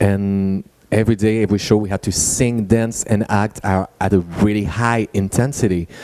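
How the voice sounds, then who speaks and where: A dark, mellow tone with monotone, flat intonation and a French accent. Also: man, fairly low pitch for a man, moderate pace. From France. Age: 30s. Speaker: musical theater actor and singer. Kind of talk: talk with live interpreter.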